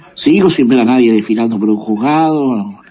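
A man speaks at a moderate pace and a medium pitch, with ordinary pitch variation and noticeable background noise. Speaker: listener sending voice message. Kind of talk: voice message opinion. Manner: halting.

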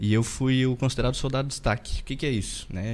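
This man has an ordinary speaking voice with a medium pitch. He talks at a fairly quick pace. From interior of Rio Grande do Sul, Brazil. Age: 30s. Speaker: dentist and business owner. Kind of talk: podcast interview, personal life story.

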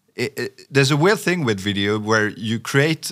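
A man at a medium pitch and moderate pace, with lively intonation, on a very clean recording with a silent background. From France. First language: French. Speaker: sales professional. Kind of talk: interview. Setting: studio.

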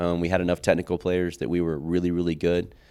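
A man with an American accent speaks at a very fast pace in a very deep, low voice. The recording is very clean, with a silent background. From Oklahoma City South Side. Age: 40s. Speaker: high school soccer coach. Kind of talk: casual interview. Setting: studio.

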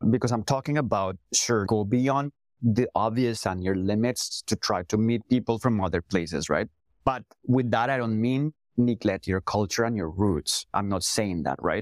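Recorded dry and close with no echo, a man with a Spanish accent talks at a moderate pace and medium pitch with ordinary pitch variation. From Colombia. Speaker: CEO and language educator. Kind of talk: casual interview conversation.

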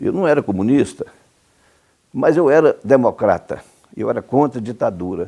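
Marked by vocal fry and a dark, mellow tone, the voice moves through very wide pitch swings with long, frequent pauses. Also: man, medium pitch for a man, moderate pace. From Brazil, Goiás (Cumari, rural). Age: 70s. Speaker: lawyer and former politician. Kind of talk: interview. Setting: at his home.

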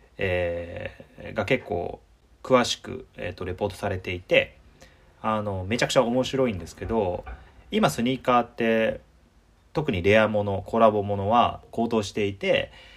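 A man with a plain, everyday voice speaks fairly slowly at a fairly low pitch. His pitch varies in an ordinary way, while his loudness swings widely. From Osaka, Japan. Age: 30s. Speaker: podcast host. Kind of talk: casual chat.

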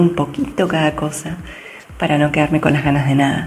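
A woman with a very deep, low pitch speaks amid noticeable background noise and audible room echo. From Argentina. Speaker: digital communication specialist. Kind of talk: interview. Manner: hesitant.

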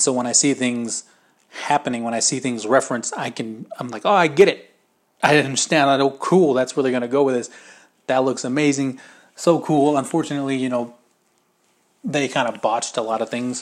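A man speaks at a fairly quick pace and a medium pitch, his intonation fairly even. He leaves long, frequent pauses. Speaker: podcast host. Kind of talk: solo casual podcast monologue. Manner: fast; casual, filler-heavy.

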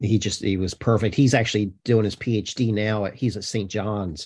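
A man's fairly low, somewhat breathy voice at a moderate pace, with fairly even intonation. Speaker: history professor. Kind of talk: interview.

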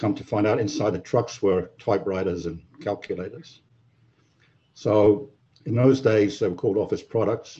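Pitched fairly low, this man's voice comes out somewhat breathy. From English Midlands (Wolverhampton), childhood in Germany and Libya. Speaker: IT service delivery executive. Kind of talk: casual interview. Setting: remote call.

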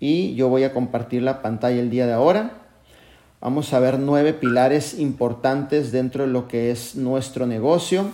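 Dark, mellow male speech at medium pitch, fairly slow, with ordinary pitch variation and long, frequent pauses. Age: 40s. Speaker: network marketing mentor. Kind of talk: motivational training. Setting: video call. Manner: animated.

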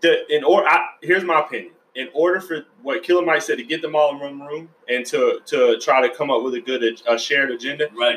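Talking at a fairly quick pace with an American accent, a man uses a plain, everyday voice, fairly high in pitch, with ordinary pitch variation. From US South, Georgia. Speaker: podcast host. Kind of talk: casual chat.

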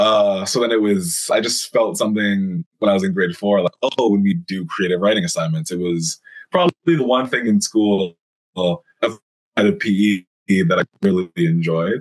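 An ordinary speaking voice with a Canadian accent moves at a moderate pace with lively intonation. The sound is dry and close, with no echo. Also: man, fairly low pitch for a man. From British Columbia, Canada. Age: 20s. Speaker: writer and stand-up comedian. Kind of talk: casual interview.

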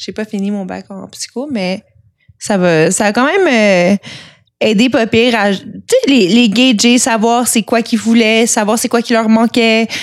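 A woman talks at a very slow pace. Her voice is fairly high, with ordinary pitch variation. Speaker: former sex worker. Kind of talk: casual interview.

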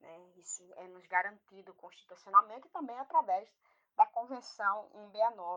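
A woman's fairly high, bright, sharp voice at a fairly slow pace, with lively intonation, big swings in loudness and a dry, close sound with no echo. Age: 40s. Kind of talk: interview. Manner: halting.

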